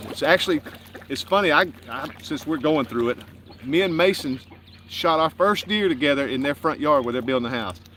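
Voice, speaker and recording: Through noticeable background noise, a man with an American accent and fairly high pitch speaks at a fairly quick pace with lively intonation. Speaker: homestead channel host. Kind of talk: casual live stream chat. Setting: outdoors by a lake.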